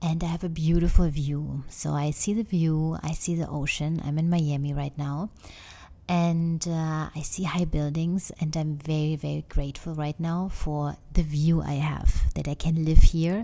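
A woman with a German accent, very deep and low-pitched, fairly slow, flat and monotone, with a dark, mellow tone and big swings in loudness. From Germany. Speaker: podcast host, wellness coach. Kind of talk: casual monologue. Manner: hesitant, many fillers.

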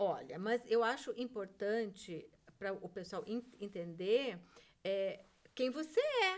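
A woman speaks very slowly at a fairly high pitch. Her intonation is lively. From southern Brazil, Rio Grande do Sul. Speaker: theatre director and teacher. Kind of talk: casual chat.

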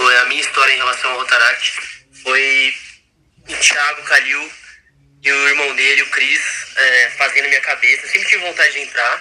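At a moderate pace and a fairly high pitch, a man talks in a monotone, flat way with long, frequent pauses. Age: 20s. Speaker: club treasurer. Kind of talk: casual chat.

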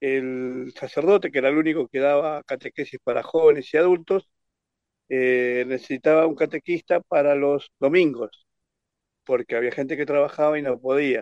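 The sound is dry and close, with no echo, as a man speaks at a moderate pace and a fairly high pitch with ordinary variation. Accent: Rioplatense. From Argentina, Buenos Aires province. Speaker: catechist and Facebook page administrator. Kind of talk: interview testimony. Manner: halting.

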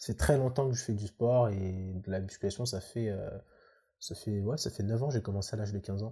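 The man's voice has a dark, mellow tone and is somewhat breathy. His pitch varies in an ordinary way on a very clean recording with a silent background. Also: fairly low pitch for a man, moderate pace. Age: 20s. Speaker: professional bodybuilder and student. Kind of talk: casual chat.

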